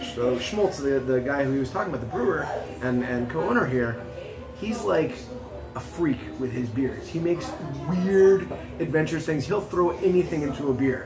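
A man speaking with long, frequent pauses over clear background music. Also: moderate pace. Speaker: guest. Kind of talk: interview answer. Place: bar.

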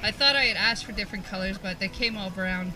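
With clear music in the background, a woman talks in fairly even intonation. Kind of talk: interview answer. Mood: cheerful, laughing. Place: farm machine.

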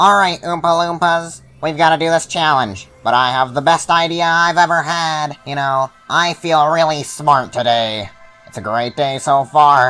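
A man speaks with a fairly high pitch while faint music plays in the background. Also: moderate pace. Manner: exasperated, sarcastic.

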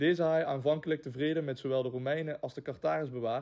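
Against a quiet background, a man with a Limburg accent speaks fairly quickly in a fairly high, dark, mellow voice with fairly even intonation. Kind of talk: narrated introduction.

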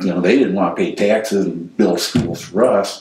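A man speaks at a moderate pace amid light background noise and audible room echo. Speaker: former development company manager; interviewee. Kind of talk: oral history interview answer. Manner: conversational, hesitant. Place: home room.

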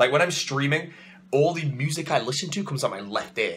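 This man talks at a fairly quick pace in an animated tone. His voice is bright and sharp, with light background noise behind it. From England. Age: 20s. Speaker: vlogger. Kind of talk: casual vlog. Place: home room. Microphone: phone near.

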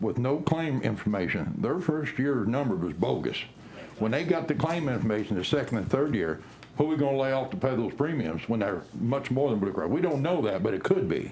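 Amid noticeable background noise and audible room echo, a man talks at a fairly quick pace with medium pitch and very wide pitch swings. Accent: American. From Bourbon County, Kansas, US. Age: 60s. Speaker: county commissioner. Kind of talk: public meeting debate.

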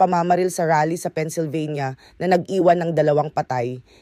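Recorded very cleanly against a silent background, a man with a high pitch and a dark, mellow tone talks at a moderate pace with ordinary pitch variation, in a dry, close sound with no echo. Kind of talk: news reading. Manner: formal, steady, measured delivery; brisk, factual, newscaster-like.

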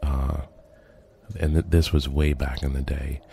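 A man's very deep, low voice, monotone and flat, at a fairly slow pace amid noticeable background noise. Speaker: urban explorer video creator. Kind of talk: narrated video commentary. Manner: hesitant with fillers.

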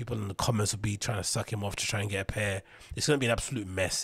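A somewhat breathy voice with fairly even intonation, recorded dry with no echo against a quiet background. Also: man. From London, England. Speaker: podcast host and DJ; podcast host, DJ. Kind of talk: solo casual monologue. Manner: rambling, conversational. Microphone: studio mic.

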